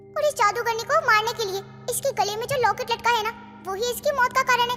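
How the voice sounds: A female-sounding, cartoonish character voice at an extremely high pitch and a very fast pace over clear music in the background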